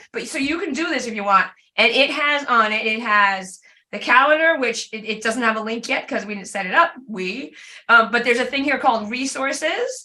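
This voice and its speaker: A woman speaks with a high pitch and ordinary pitch variation at a fairly quick pace. Her tone is bright and sharp. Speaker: class leader / instructor. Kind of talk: tutorial. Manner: fast.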